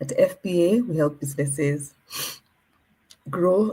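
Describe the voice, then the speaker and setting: Her voice is fairly low, with a dark, mellow tone. The woman sounds somewhat breathy and uses ordinary pitch variation. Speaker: moderator / program coordinator. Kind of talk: webinar introduction. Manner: subdued.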